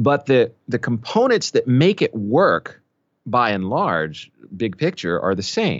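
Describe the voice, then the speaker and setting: A man with an American accent speaks at a medium pitch with vocal fry. His pace is very slow, and his pitch swings very widely. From Philadelphia, Pennsylvania, US East Coast. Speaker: voice actor and audiobook narrator. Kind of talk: casual interview chat. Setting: remote interview.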